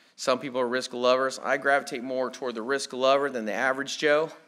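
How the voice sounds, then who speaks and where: A man with an American accent talks at a very fast pace. His pitch is medium. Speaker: conference speaker on personal finance. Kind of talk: lecture. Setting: conference presentation.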